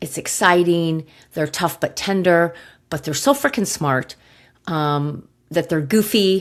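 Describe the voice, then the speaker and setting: A woman talks at a fairly slow pace with a fairly low pitch and ordinary pitch variation. The recording is very clean with a silent background. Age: 60s. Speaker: podcast host, gut health practitioner. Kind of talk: personal storytelling podcast. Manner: halting, with many fillers.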